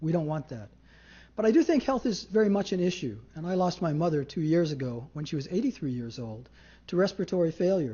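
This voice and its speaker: A high-pitched male voice at a fairly quick pace, full of very wide pitch swings. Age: 60s. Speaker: city council candidate. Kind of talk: candidate forum answers. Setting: public candidate forum.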